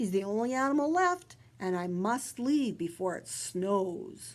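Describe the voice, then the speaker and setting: In a very clean recording with a silent background, a woman does a put-on character voice at medium pitch, with lively intonation and a fairly slow pace. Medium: read story.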